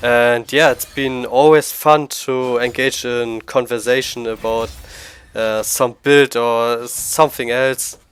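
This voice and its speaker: A man speaks very slowly with a strong German accent at a medium pitch. His intonation is flat and monotone. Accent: thick German. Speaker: gaming YouTuber. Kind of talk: casual monologue to camera. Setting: at home computer. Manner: halting.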